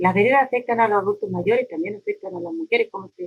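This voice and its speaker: A woman's high pitch at a very fast pace, in a dry, close sound with no echo. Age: 60s. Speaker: neighborhood community leader. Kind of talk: interview.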